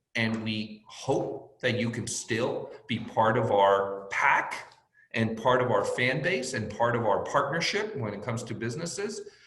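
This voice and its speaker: The speech comes at a fairly slow pace with audible room echo. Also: man. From born in Mexico, raised in US from age five. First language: Spanish. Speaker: sports team executive. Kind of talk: panel interview.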